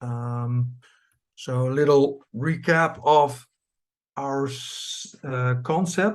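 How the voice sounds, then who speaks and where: Against a quiet background, a man with a Dutch accent speaks at a fairly high pitch. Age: 50s. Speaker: cooperative farm chairman. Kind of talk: presentation. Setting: video call. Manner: halting.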